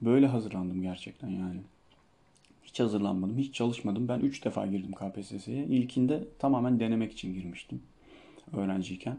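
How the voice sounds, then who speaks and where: A man talks at a moderate pace with a dark, mellow tone. His pitch is fairly low and varies in an ordinary way. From Turkey, Denizli (Çivril). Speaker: Turkish language teacher. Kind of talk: solo Q&A podcast, casual.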